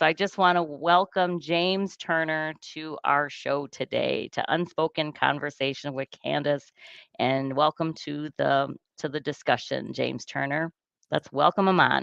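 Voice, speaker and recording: With a very deep, low pitch, a woman speaks at a fairly slow pace and with fairly even intonation. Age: 50s. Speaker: podcast host. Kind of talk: interview.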